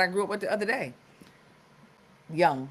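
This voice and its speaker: A woman with an American accent. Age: 40s. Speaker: podcast host. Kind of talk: live stream wellness talk. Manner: casual, conversational.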